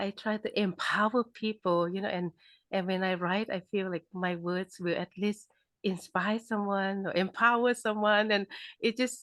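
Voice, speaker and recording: In a Thai accent, a woman speaks at a medium pitch, recorded with a dry, close sound with no echo against a quiet background. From Thailand. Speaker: author. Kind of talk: interview. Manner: halting.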